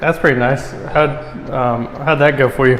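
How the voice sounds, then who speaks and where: A man with fairly even intonation amid noticeable background noise. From Alabama. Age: 20s. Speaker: military veteran and wrestling coach. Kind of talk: casual chat.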